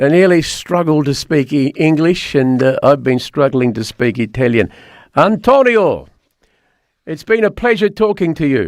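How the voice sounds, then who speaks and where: A man with an Australian accent speaks at a fairly high pitch. His pitch swings very widely. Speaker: talk radio host. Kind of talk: call-in chat show. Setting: studio. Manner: slow.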